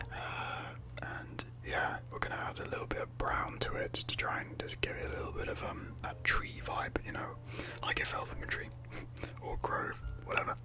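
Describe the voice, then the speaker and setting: A man whispers at a moderate pace. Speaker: ASMR creator and 3D modeller; ASMR creator. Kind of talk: ASMR tutorial narration. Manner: whispered, soft-spoken. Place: home room.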